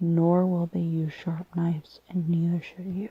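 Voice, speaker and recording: Whispering and soft-spoken, a woman's words come at a fairly slow pace. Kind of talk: casual chatty commentary while reading aloud. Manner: soft-spoken, whispered.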